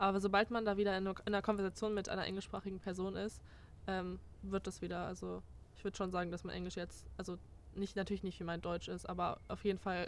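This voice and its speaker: Over light background noise, a woman talks at a very fast pace in a dry sound with no echo. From Germany. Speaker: former exchange student. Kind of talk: casual chat. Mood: relaxed, chatty. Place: garden.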